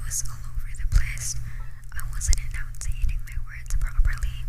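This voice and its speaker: Fairly slow whispering with music in the background. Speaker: digital artist. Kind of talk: soft-spoken ASMR talk over gameplay. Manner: soft-spoken.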